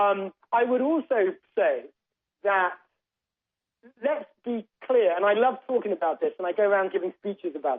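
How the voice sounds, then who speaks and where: With a British accent, the speaker pauses long and often. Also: moderate pace. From England. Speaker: political commentator guest. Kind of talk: radio interview.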